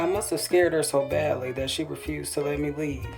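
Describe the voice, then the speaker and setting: There is music in the background as a woman talks. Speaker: author. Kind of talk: personal memoir audiobook reading.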